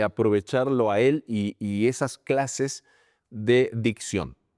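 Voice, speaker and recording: No echo colors the dry, close sound. Behind it the background is silent, making for a very clean recording. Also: man. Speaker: sports commentator. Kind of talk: interview.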